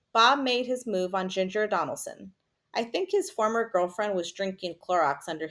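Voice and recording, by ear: Someone is reading aloud in a natural voice, with ordinary pitch variation and a quiet background.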